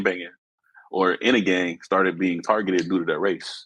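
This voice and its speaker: The talking moves at a fairly quick pace. An American accent is clear in it. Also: man. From Los Angeles area, California. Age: 30s. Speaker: guest sharing personal story. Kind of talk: testimony.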